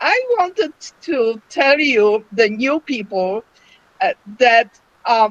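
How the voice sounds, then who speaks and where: With a non-native accent, a woman speaks at a very slow pace and high pitch with lively intonation and long, frequent pauses, the sound dry and close with no echo. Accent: foreign. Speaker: myeloma patient. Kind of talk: online panel discussion. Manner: halting.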